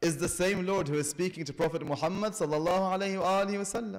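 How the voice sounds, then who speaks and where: Over a quiet background, a man speaks in a high pitch with ordinary pitch variation. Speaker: religious lecturer. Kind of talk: sermon. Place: church. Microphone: podium.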